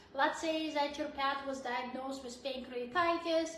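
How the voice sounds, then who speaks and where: In a raised, projected voice with a bright, sharp tone, the speaker keeps a flat, monotone delivery at a moderate pace amid audible room echo. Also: woman. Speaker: veterinarian. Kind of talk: live Q&A chat. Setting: live video stream.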